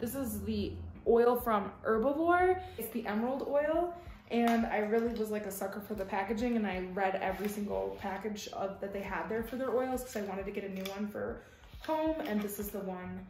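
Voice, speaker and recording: A woman at a moderate pace with ordinary pitch variation, audible room echo, and light background noise. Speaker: lifestyle vlogger. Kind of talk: casual haul vlog chat. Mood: upbeat, enthusiastic. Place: home room. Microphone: camera far.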